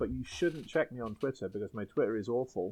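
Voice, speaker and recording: Against a quiet background, a man with an English accent speaks with ordinary pitch variation. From England. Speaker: guest, comics creator. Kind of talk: casual chat.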